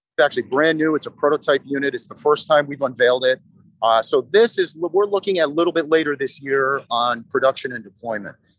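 Very fast speech from a man, with ordinary pitch variation and a dry sound with no echo. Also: quiet background. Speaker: company sales executive. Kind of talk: interview answer. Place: hall. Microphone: phone near.

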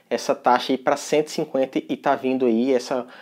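Fairly high male speech set against a quiet background. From Brazil. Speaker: tech youtuber. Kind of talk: tutorial. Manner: casual, conversational. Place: home room. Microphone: lapel.

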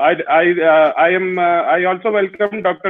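Against a quiet background, a man talks at a high pitch with monotone, flat intonation. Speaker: host. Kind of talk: formal welcome speech. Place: home room. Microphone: earbuds.

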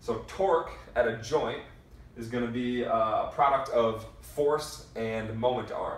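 Over audible room echo, a man speaks with ordinary pitch variation. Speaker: strength coach. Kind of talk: lecture. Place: empty room. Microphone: camera far.

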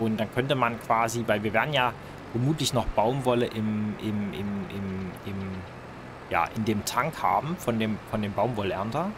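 Fairly slow speech from a man, medium in pitch, ordinary pitch variation, noticeable background noise behind it. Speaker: gaming video creator. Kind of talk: let's play gameplay commentary. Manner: casual, hesitant with repetitions.

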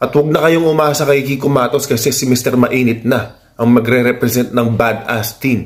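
A man speaks at medium pitch and a moderate pace, with hardly any pauses. His intonation is fairly even, his loudness very even, and the background quiet. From Philippines. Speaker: YouTuber and fighter issuing call-outs. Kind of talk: call-out rant vlog. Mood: challenging, confrontational but calm. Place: home room. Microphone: phone near.

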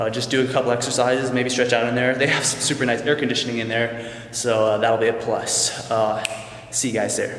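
Amid light background noise and audible room echo, a man talks fairly quickly in a flat monotone. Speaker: fitness vlogger. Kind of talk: casual vlog chat. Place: gym. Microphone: phone near.

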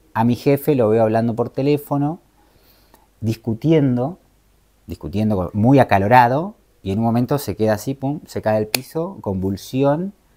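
With lively intonation and a dark, mellow tone, a man speaks at a moderate pace and medium pitch against a quiet background. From Argentina, Moreno, Buenos Aires province; Buenos Aires province, Argentina. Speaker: travel content creator and life coach; travel content creator, life coach. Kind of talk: interview. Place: home room.

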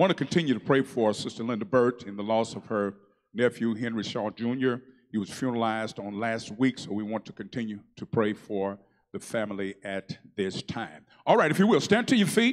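A man's warm, upbeat voice at a fairly quick pace, with big swings in loudness, ordinary pitch variation and a quiet background. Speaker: church announcer and worship leader. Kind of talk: church announcements. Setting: church. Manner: warm, upbeat, leads the congregation in responses. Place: church. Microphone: handheld.

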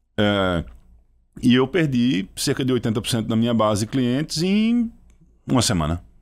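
A man with a slight Pernambuco accent talks at a moderate pace with lively intonation and long, frequent pauses. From Pernambuco sertão, Brazil. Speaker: startup CEO and founder; guest. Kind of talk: podcast interview. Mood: reflective storytelling. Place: studio. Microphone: studio mic.

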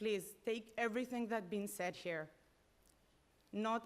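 A woman speaks fairly slowly with a non-native accent. Her voice sits at a medium pitch with ordinary pitch variation. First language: not English. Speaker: parent speaking at public comment. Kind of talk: public comment at school board meeting. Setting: school board meeting.

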